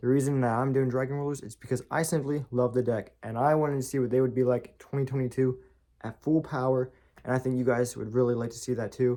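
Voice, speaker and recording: Soft-spoken, very fast delivery in a dark, mellow tone with monotone, flat intonation. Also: man, medium pitch for a man. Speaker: YouTuber doing card game deck profiles. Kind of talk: casual tutorial deck profile. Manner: quiet, soft-spoken; casual, repeats words.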